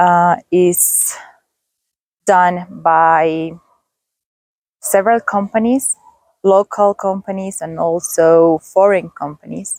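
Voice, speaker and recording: A woman with a Spanish accent speaks at a very slow pace and medium pitch, with long, frequent pauses and a dry, close sound with no echo. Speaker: travel vlogger. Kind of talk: vlog narration. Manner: halting, with fillers.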